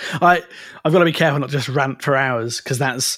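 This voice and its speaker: This is a plain, everyday voice belonging to a man. His pitch varies in an ordinary way. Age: 30s. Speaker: copywriter. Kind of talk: casual chat.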